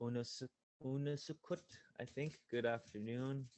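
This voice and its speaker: The man speaks at a fairly slow pace with fairly even intonation. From Yukon, Canada. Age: young. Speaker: youth panelist. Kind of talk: panel discussion. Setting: video call. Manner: halting.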